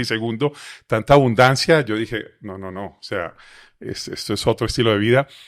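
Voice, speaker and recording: At a fairly quick pace, a man speaks with ordinary pitch variation in a dry, close sound with no echo. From Colombia, Medellín (paisa). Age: 50s. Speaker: motivational speaker and author. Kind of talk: interview testimony.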